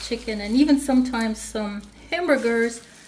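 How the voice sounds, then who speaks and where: A woman speaks at a fairly high pitch. Audible room echo and noticeable background noise are present. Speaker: home cook. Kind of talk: cooking tutorial. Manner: loud; casual, conversational. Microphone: external mic problems, sounds like shouting.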